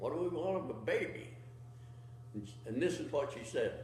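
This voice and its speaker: A man with an American accent at a fairly slow pace, ordinary pitch variation, and noticeable background noise. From Utah, USA. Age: 80s+. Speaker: war veteran; farmer. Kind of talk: interview answer.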